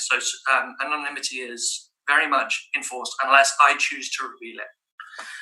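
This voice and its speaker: A man is speaking. There is audible room echo. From Southern Africa. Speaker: conference speaker. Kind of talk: conference presentation. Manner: fast.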